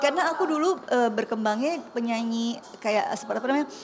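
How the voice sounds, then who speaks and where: A woman speaks very fast with ordinary pitch variation while noticeable background noise runs underneath. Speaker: singer and housewife. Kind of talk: casual interview chat. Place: studio.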